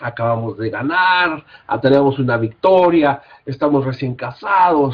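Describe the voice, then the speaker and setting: A man is speaking. He has a slight Mexican accent. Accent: somewhat Mexican. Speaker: Bible college teacher. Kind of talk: lecture. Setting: recorded class without live audience. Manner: halting, with fillers.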